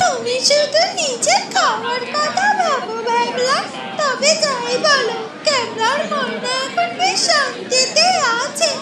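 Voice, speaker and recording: A cartoonish character voice from a woman, extremely high in pitch, at a very slow pace. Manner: warm, chiding.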